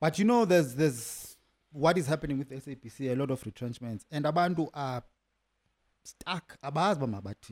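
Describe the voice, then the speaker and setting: A man's unremarkable speaking voice, fairly high in pitch, with lively intonation, dry and close with no echo, in a very clean recording over a silent background. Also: fairly quick pace, big swings in loudness. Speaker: podcast interviewer. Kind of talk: casual interview chat.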